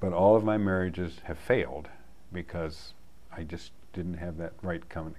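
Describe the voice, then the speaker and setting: Very deep, low pitch from a male speaker, plus audible room echo. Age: 70s. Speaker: community group member sharing life story. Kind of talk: personal testimony.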